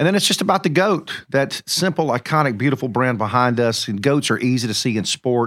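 In a very clean recording with a silent background, a man's voice moves through very wide pitch swings. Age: 50s. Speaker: podcast host. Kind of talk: casual chat. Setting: studio.

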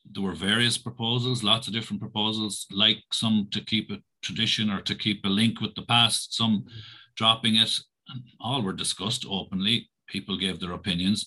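The voice has a Tipperary accent and a bright, sharp tone, with fairly even intonation at a fairly quick pace. The background is quiet. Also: man. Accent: Irish (Tipperary). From Ireland, County Tipperary. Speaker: primary school principal. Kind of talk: interview.

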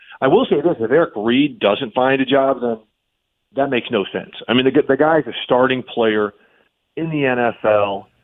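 A man talks at a moderate pace in a normal speaking voice. His pitch is medium, with ordinary variation. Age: 50s. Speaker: football reporter and analyst. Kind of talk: casual interview.

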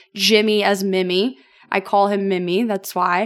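A woman talks in a Southern US accent. Her pace is moderate. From Tennessee, Franklin. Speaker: distillery brand ambassador. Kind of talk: casual chat.

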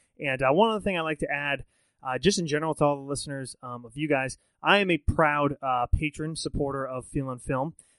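A man talks in a normal speaking voice at a fairly high pitch and fairly quick pace. His pitch variation is ordinary, but his loudness swings a lot. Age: 30s. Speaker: film podcast host. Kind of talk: casual chat.

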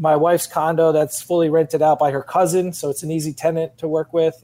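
A man at a fairly quick pace. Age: 30s.

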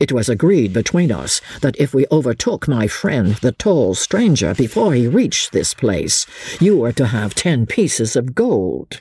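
A man puts on a character voice at a medium pitch, with big pitch swings and a fairly slow pace. The tone is slightly mellow with a slightly husky edge, and the sound is dry and close with no echo.

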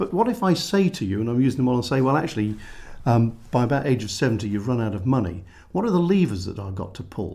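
A man's somewhat breathy, dark and mellow voice at medium pitch, with very wide pitch swings and a very fast pace. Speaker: financial planner. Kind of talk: podcast conversation. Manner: animated, gesturing a lot.

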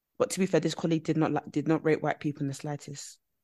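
A woman with a British accent talks at a very fast pace and a fairly low pitch. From UK, Nigerian parents. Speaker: podcast co-host. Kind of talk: casual chat.

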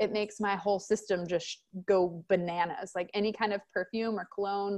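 With an American accent, a woman speaks at a moderate pace and medium pitch against a quiet background. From Texas, small country town. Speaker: self-love and empowerment coach. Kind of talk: casual interview chat.

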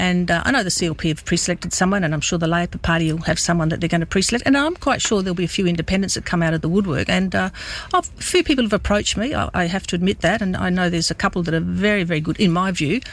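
Very fast with hardly any pauses, a woman with an Australian accent and a fairly low pitch speaks with ordinary pitch variation. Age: 60s. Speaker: politician. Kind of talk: radio interview. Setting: studio.

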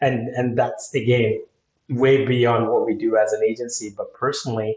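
Here a man speaks at a moderate pace in a somewhat breathy voice. His intonation stays monotone and flat. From India. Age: 40s. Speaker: digital marketing agency owner. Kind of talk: interview.

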